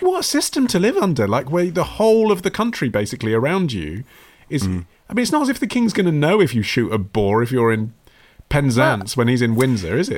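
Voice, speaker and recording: A man with a British accent talks at a very fast pace with very wide pitch swings. The recording is very clean, with a silent background. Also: fairly high pitch for a man. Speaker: podcast host. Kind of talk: casual conversational history chat.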